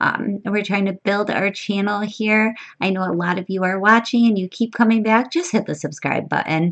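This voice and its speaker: A woman's unremarkable speaking voice at medium pitch, moderate pace and ordinary pitch variation, with hardly any pauses. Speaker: online money-making YouTuber. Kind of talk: tutorial. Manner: casual, with frequent um fillers.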